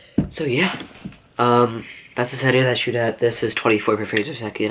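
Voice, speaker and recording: A man at medium pitch talking at a very fast pace amid noticeable background noise. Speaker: small YouTuber. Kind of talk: casual gear tutorial. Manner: halting, many fillers.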